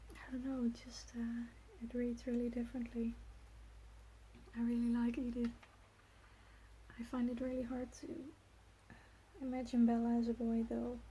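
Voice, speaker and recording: A soft-spoken woman talks at a high pitch and a moderate pace, her intonation monotone and flat. Long, frequent pauses break her speech, and noticeable background noise is present. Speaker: ASMR creator. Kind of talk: casual talk to camera, ASMR soft speaking. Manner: soft-spoken, relaxed, rambling.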